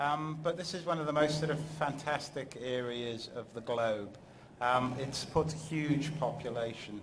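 A man speaks at a fairly slow pace with a fairly high pitch and ordinary pitch variation. There is noticeable background noise. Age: middle-aged. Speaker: geography professor. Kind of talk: scientific presentation. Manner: halting, many fillers. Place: hall. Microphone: podium.

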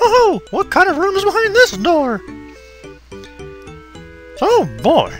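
A put-on character voice at an extremely high pitch and fairly slow pace, with clear music in the background. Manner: cheerful, cartoonish.

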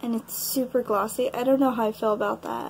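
Her voice high and her intonation fairly even, a woman talks at a very fast pace. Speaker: beauty vlogger. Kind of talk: casual haul talk to camera.

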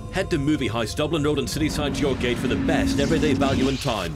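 The speaker talks at a very fast pace with music in the background. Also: man. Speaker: voice actor. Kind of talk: TV commercial read.

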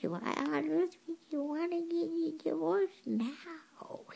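A woman performs a put-on character voice. She speaks at a fairly slow pace. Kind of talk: comedic monologue.

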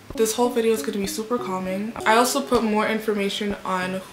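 A woman keeps a fairly quick pace and fairly even intonation, with noticeable background noise around her. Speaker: vlogger. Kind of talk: casual vlog chat. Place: home room. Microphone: phone near.

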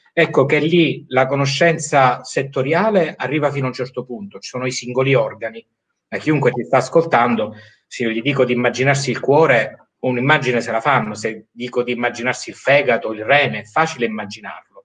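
The background stays quiet. Against it, a man talks at a fairly quick pace. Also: ordinary pitch variation. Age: 40s. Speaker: medical doctor. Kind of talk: live-stream interview. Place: home room. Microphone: video call.

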